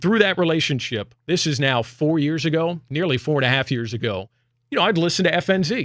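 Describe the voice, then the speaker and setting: A man with an ordinary speaking voice, lively intonation and a fairly quick pace, on a very clean recording with a silent background. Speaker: sports radio host and play-by-play broadcaster. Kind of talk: casual radio talk, personal announcement to listeners.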